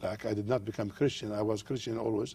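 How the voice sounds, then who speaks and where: Someone with an Arabic accent speaks at a fairly quick pace in fairly even intonation. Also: man. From Jordan. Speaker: pastor. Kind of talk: TV interview. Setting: studio.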